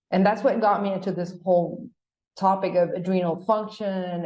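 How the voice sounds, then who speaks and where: In a Spanish accent, a woman with a medium pitch and a dark, mellow tone speaks at a moderate pace with ordinary pitch variation. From Paraguay. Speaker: gynecologist. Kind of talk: podcast interview.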